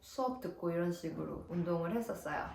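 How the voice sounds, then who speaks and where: Lively intonation from a woman, with noticeable background noise and audible room echo. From South Korea. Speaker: nurse and vlogger. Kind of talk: vlog advice talk. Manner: casual, friendly.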